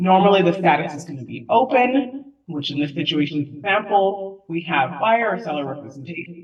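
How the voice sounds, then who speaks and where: In an unremarkable speaking voice, the woman keeps a moderate pace while her intonation stays lively. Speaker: transaction coordinator. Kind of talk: software demo webinar. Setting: webinar.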